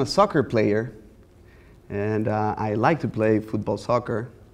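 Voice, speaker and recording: With a Mexican accent, a man speaks against a quiet background. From Mexico. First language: Spanish. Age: 30s. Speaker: visual artist. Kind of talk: lecture. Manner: easygoing, conversational.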